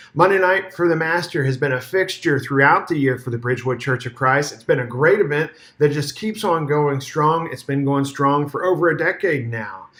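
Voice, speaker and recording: This man speaks with hardly any pauses and a fairly high pitch. His pitch variation is ordinary. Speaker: church minister. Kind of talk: video year-in-review narration. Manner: fast.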